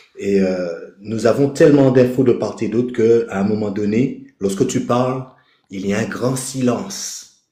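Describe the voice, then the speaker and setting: A man's medium-pitched voice with a dark, mellow tone, ordinary pitch variation and a fairly slow pace, in audible room echo. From Caribbean. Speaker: participant in online spiritual live. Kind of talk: casual chat. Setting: live video call with headset. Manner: hesitant, many fillers.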